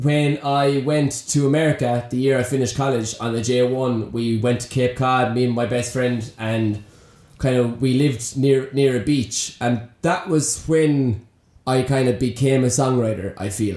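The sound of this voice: A man at a fairly slow pace, his tone slightly mellow. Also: medium pitch for a man, fairly even intonation.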